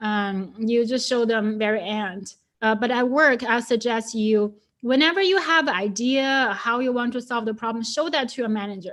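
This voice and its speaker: With a Chinese accent, a woman talks at a high pitch. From China. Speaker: data scientist. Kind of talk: webinar talk. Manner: hesitant, many fillers.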